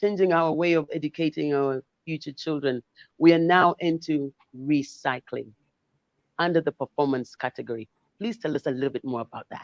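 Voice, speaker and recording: A woman speaks at a fairly quick pace in a very deep, low voice, with ordinary pitch variation and a dry, close sound that has no echo. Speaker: award show host. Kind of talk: live award show hosting. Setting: live stream, Kampala.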